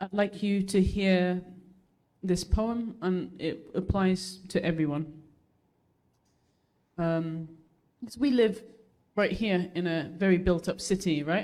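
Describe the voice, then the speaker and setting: In a Birmingham accent, the speaker goes at a very slow pace with long, frequent pauses. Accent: Birmingham English (Brummie). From England, Birmingham. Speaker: spoken word poet. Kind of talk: spoken word performance; casual chat with audience.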